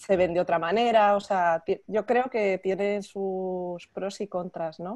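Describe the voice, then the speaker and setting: A woman speaks at a very slow pace in a medium pitch with fairly even intonation against a quiet background. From Spain (Madrid). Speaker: art magazine section editor, interviewer. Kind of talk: casual interview. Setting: video call. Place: home room. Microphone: earbuds.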